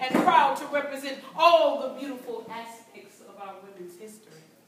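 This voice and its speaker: A woman speaks in an American accent with a high pitch. Audible room echo and noticeable background noise surround her voice. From United States. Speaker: performance poet. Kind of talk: live spoken word poetry performance. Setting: live event room, amateur recording. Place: hall. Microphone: camera far.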